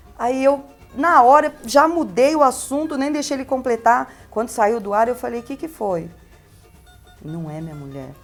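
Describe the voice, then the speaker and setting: A woman with a high pitch talks at a moderate pace over music in the background, with very wide pitch swings, big swings in loudness and long, frequent pauses. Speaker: radio host. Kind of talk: interview answer. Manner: chatty, conversational.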